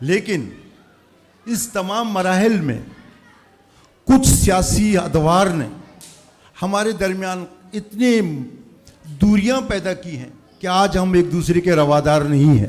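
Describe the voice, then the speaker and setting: Audible room echo surrounds a man speaking at high pitch, with ordinary pitch variation and long, frequent pauses. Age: 60s. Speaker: community elder. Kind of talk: farewell speech. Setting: school event with audience.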